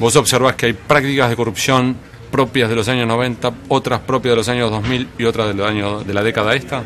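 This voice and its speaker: The delivery is fairly quick and monotone, with flat intonation. Noticeable background noise can be heard. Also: man, medium pitch for a man. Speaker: interviewer. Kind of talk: interview.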